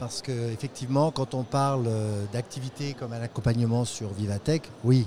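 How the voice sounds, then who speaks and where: An ordinary speaking voice from a man at a fairly slow pace, with ordinary pitch variation. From France. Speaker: international development program manager. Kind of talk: interview. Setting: tech trade show.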